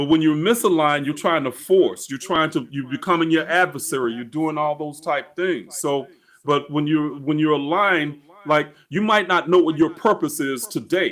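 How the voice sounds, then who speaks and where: An ordinary speaking voice, a man's, fairly high, moderately paced, with ordinary pitch variation. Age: 60s. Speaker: spiritual coach. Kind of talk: interview.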